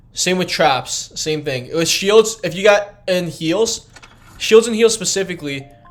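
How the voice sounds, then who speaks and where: A man with a high voice speaks at a fairly slow pace and ordinary pitch variation while music plays in the background. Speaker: gaming streamer. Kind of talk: live gameplay tutorial stream. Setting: live stream. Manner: casual, halting with fillers; mumbling over words.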